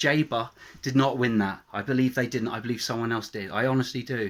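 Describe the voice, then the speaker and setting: The speaker is a man with an English accent. His pitch sits in the medium range. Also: very clean recording, silent background. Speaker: YouTuber. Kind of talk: political rant. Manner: fast; animated.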